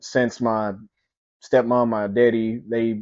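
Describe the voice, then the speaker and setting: A man with an East Texas accent speaks at a medium pitch. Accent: East Texas Southern US. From East Texas (Mount Pleasant). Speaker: podcast host. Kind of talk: personal storytelling. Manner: halting, repetitive.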